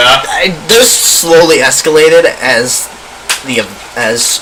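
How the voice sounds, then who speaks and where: Man's voice amid noticeable background noise. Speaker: student radio talk show host. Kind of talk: casual talk show discussion.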